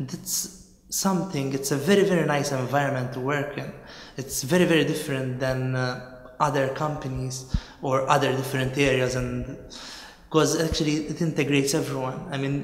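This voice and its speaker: A man talks at a fairly quick pace with fairly even intonation, and room echo is audible. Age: 20s. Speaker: neuroscientist. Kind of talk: interview answer. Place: office.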